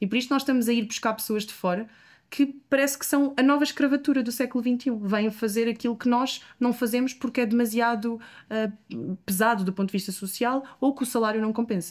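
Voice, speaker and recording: A woman with a European Portuguese accent, fairly high pitch, ordinary pitch variation and a fairly quick pace. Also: very clean recording, silent background. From Portugal. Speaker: politician. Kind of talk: interview answer.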